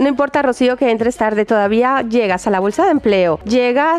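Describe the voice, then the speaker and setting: Over clearly audible background noise, a woman talks in an animated way. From Colombia, Barranquilla. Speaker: radio host. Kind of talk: casual radio chat.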